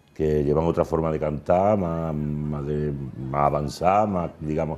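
A man speaks with a very deep, low pitch. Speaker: carnival songwriter and crier. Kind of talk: TV interview answer.

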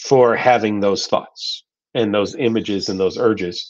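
Against a quiet background, a man talks at a fairly slow pace with fairly even intonation. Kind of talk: live Q&A talk. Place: home room. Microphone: video call.

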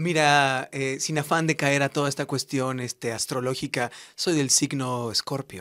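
With a Mexican accent, a man speaks fairly slowly at a fairly high pitch, his tone bright and sharp and his intonation fairly even over a quiet background. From Mexico, Morelia, Michoacán; Michoacán, Mexico. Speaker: singer; interviewee. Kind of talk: radio interview. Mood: warm, grateful. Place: studio. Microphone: studio mic.

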